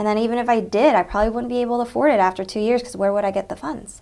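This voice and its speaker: Speaking in an American accent, a woman keeps her intonation fairly even. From Texas. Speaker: interviewee, Vietnamese American professional. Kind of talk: oral history interview. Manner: conversational, frequent fillers.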